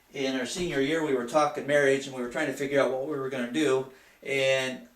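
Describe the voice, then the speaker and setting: A man with an American accent talks fairly quickly in a fairly high voice. His intonation stays fairly even, and the room echo is audible. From Michigan, US Midwest. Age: 50s. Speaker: student and lay Bible teacher. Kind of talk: class speech. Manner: halting.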